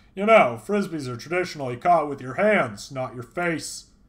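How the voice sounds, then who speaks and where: Putting on a character voice, a man speaks at a moderate pace and a fairly high pitch. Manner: dry, teasing.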